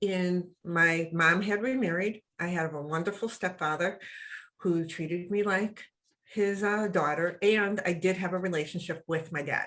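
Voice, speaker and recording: The tone is bright and sharp, in a US East Coast accent. Delivery is fairly slow with fairly even intonation. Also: woman. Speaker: web show co-host. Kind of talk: casual chat.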